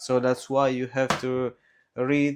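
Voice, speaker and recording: A man with an Italian accent speaks at a fairly slow pace, his medium pitch held in a monotone, flat intonation. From Italy. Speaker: cooking vlogger. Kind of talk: casual vlog chat while cooking. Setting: home kitchen.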